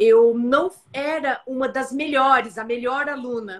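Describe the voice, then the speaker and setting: Speaking at a very slow pace, a woman has a high pitch and a bright, sharp tone. Her intonation stays fairly even. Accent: São Paulo. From interior of São Paulo state, Brazil. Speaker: occupational physician. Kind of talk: casual interview. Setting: live stream.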